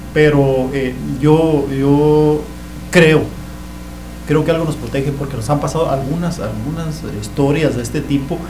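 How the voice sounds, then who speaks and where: The speaker talks at a fairly slow pace in a monotone, flat intonation, with long, frequent pauses. Noticeable background noise and audible room echo are present. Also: man. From Chihuahua, Mexico. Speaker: author recounting paranormal experiences. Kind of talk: testimony. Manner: halting, repeats words.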